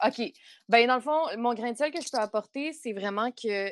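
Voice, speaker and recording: A woman in a Quebec accent, fairly high-pitched, with ordinary pitch variation. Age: 20s. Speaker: youth worker and sexology student, co-host. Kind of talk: casual chat.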